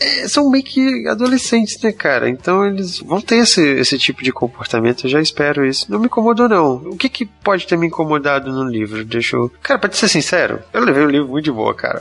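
A man with a fairly high pitch talks with very wide pitch swings and hardly any pauses. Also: fairly quick pace. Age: 30s. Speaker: book podcast panelist. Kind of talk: casual chat.

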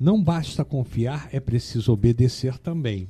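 A man's dark, mellow, somewhat breathy voice with very wide pitch swings at a fairly slow pace. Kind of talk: reading aloud; casual chat.

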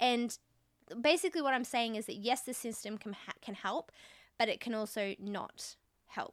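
A woman with a fairly high pitch and an animated tone speaks with ordinary pitch variation and long, frequent pauses, recorded with a dry, close sound and no echo. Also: moderate pace, very clean recording, silent background. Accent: Australian. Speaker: podcast host. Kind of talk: casual chat.

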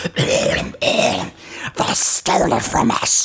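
Put-on character speech with a raspy edge

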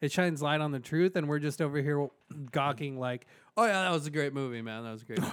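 In an ordinary speaking voice, a man talks at a fairly high pitch with ordinary pitch variation, recorded very cleanly against a silent background. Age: 20s. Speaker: podcast co-host. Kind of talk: casual chat.

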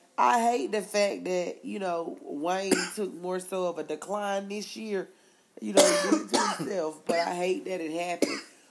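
A woman's voice makes very wide pitch swings at a fairly slow pace, with noticeable background noise behind it. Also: medium pitch for a woman. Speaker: podcast co-host. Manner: animated.

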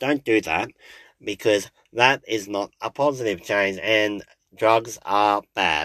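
Lively intonation marks a man's fairly low voice in an Australian accent. The sound is dry and close with no echo, on a very clean recording with a silent background. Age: 30s. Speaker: podcast host and bus driver. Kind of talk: casual solo monologue. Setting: in a parked car. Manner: halting, many fillers.

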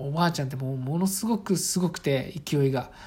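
At a moderate pace, a woman speaks with a very deep, low pitch, a relaxed tone, a dark, mellow tone and a somewhat breathy sound. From Saitama, Japan (rural town). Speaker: podcaster, office worker and father. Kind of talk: casual solo talk. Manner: relaxed, many fillers.

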